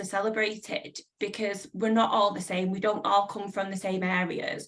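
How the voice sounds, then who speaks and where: A woman talks at a moderate pace. She has a northern English accent. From northern England. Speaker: publisher. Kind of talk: panel discussion.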